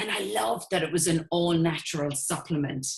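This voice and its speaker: This speaker has an Irish accent and a somewhat breathy sound. The intonation is lively. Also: woman. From Ireland. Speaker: network marketing entrepreneur. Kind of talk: sales presentation. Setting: webinar.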